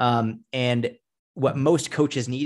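A man with an American accent speaks in a plain, everyday voice at medium pitch with ordinary pitch variation, on a very clean recording with a silent background. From Massachusetts, near Boston. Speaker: fitness coach. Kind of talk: interview.

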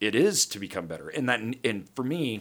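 A man speaks in a bright, sharp, animated tone with lively intonation. The recording is very clean, with a silent background. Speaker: podcast host and real estate investor. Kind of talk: casual monologue on investing. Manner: long-winded, animated.

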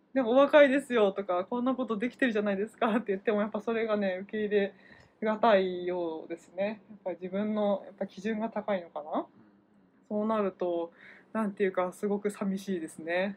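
A woman with an ordinary speaking voice talks at a fairly quick pace, medium in pitch with ordinary pitch variation. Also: big swings in loudness. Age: 30s. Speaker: healthcare worker. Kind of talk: casual chat.

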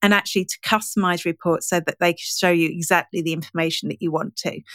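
A plain, everyday voice at a fairly quick pace, fairly even in intonation, with a dry, close sound, no echo, and a very clean recording over a silent background. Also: woman. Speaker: digital marketing and analytics trainer. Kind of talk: casual interview chat. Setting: podcast interview.

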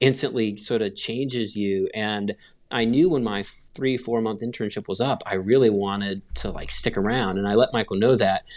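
An unremarkable speaking voice from a man with an American accent, medium pitch and fairly even intonation at a moderate pace, on a very clean recording with a silent background. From US South, North Carolina (Gastonia). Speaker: graphic designer. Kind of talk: casual interview chat.

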